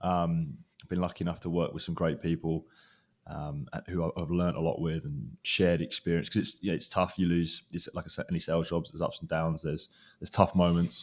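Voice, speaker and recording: A British accent at a fairly quick pace with fairly even intonation, on a very clean recording with a silent background. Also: man, very deep, low pitch for a man. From UK. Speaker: recruiter. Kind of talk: interview. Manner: hesitant, many fillers.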